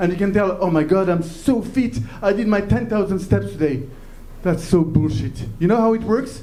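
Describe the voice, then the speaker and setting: Lively intonation and very even loudness come at a moderate pace, with noticeable background noise and audible room echo. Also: man, high pitch for a man. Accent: French. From France. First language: French. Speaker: comedian. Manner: halting.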